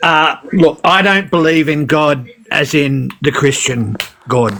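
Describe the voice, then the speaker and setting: There is noticeable background noise as a man with an Australian accent talks at a very slow pace. His pitch is fairly high, with ordinary pitch variation and very even loudness. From Queensland, Australia. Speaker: caller. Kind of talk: casual chat.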